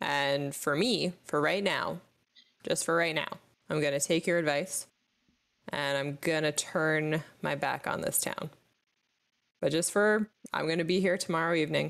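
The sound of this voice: A woman puts on a raspy character voice, pitched very deep and low. She goes at a fairly slow pace with long, frequent pauses.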